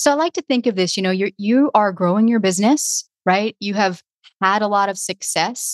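A woman with an American accent and ordinary pitch variation, in a dry, close sound with no echo and a quiet background. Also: medium pitch for a woman, moderate pace. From Louisiana, near New Orleans. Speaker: podcast consultant. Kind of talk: casual interview.

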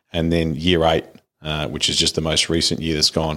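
A man with an Australian accent has a very deep, low voice. The recording is very clean, with a silent background. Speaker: podcast host. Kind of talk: casual interview chat.

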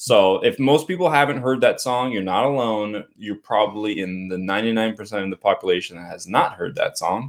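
At a moderate pace, a man uses an ordinary speaking voice with a medium pitch, ordinary pitch variation and big swings in loudness. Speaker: karaoke singer and podcast host. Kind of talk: casual chat.

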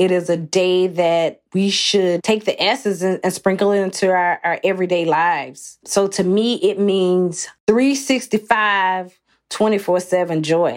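A woman with an American accent has a plain, everyday voice at medium pitch, with ordinary pitch variation and very even loudness. She talks at a fairly slow pace with hardly any pauses. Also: very clean recording, silent background. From US South, Athens, Georgia. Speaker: cookbook author and food writer. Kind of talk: interview conversation.

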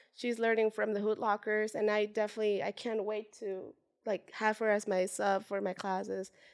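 A woman with a Spanish accent speaks at a moderate pace and fairly high pitch. Her intonation is monotone and flat, and the recording is very clean with a silent background. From Mexico, Puebla. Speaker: street dancer and dance teacher. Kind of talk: interview.

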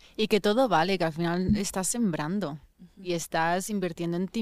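A woman with an unremarkable speaking voice, medium pitch, ordinary pitch variation and moderate pace, in a very clean recording over a silent background. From Spain. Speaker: actress. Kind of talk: casual chat.

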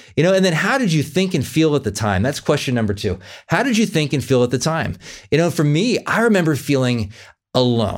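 A man speaks with vocal fry at a fairly quick pace. The recording is very clean, with a silent background. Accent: American. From California. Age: 40s. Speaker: podcast host, life coach. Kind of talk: solo podcast monologue, self-help talk.

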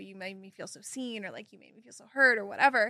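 With a General American accent, a woman speaks at a fairly quick pace in an animated, bright, sharp tone against a quiet background. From Kansas, US. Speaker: guest, former pageant titleholder and content creator. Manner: animated, excitable.

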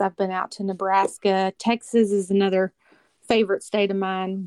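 A woman with a Kentucky accent speaks at medium pitch and a moderate pace. The sound is dry and close, with no echo. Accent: Kentucky Southern. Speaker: hunter and social media influencer. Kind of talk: casual interview chat. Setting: phone call.

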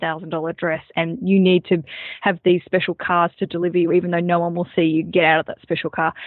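A woman with a medium pitch speaks with an Australian accent. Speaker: comedian and wedding podcast host. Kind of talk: casual interview.

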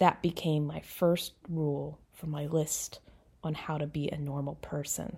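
A woman's very deep, low voice, dark and mellow and somewhat breathy, stays monotone and flat at a fairly slow pace. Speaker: author and poet. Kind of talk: poetry reading, a poem read aloud.

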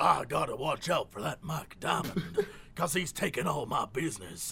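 A man puts on a raspy character voice in a Texan accent, with clear background noise behind him. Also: moderate pace.

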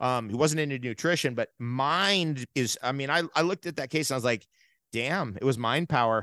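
In an American accent, a man talks at a medium pitch and a moderate pace, with ordinary pitch variation and a bright, sharp tone. The sound is dry and close with no echo, over a quiet background. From New York and New Jersey. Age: 50s. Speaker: natural health advocate. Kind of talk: casual interview.

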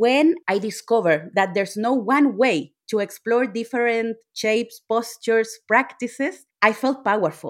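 On a very clean recording with a silent background, a woman with a Chilean accent speaks at a fairly slow pace in a fairly high pitch, with ordinary pitch variation. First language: Spanish. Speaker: yoga instructor. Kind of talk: interview.

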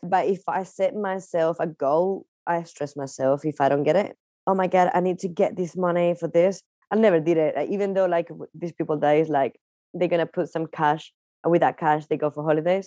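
A woman with a Spanish accent speaks at a fairly quick pace in a fairly low pitch with fairly even intonation. The sound is dry and close with no echo against a quiet background. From Spain, Palencia. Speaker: magician and dancer. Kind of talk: interview.

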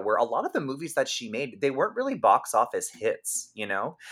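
A man talks at a very fast pace in a fairly high pitch. Vocal fry runs through his voice. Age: 30s. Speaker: podcast host and comedian. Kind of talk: casual chat.

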